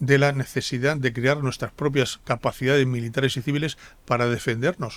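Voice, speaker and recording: A man's medium-pitched voice with a Castilian accent, fairly quick and fairly even in intonation, on a very clean recording with a silent background. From Spain, Murcia and Castile (Palencia). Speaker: politician and diplomat. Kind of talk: interview. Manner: hesitant with repetitions.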